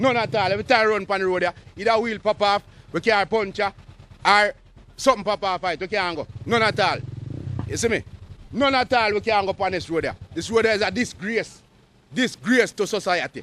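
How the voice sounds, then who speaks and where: A man with a Jamaican accent talks at a fairly quick pace with long, frequent pauses, using a high pitch with ordinary variation and a bright, sharp tone. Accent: Jamaican Patois. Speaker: resident protesting bad roads. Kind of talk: street interview.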